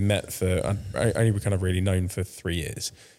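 A man talks with a southern English accent. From France, then England from 2005. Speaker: cancer survivor. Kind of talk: casual interview. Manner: hesitant, many fillers.

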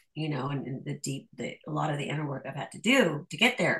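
The background is quiet as a woman talks at a moderate pace. Her voice is somewhat breathy. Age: 40s. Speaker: Gnostic priestess and shadow work teacher. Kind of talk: casual chat.

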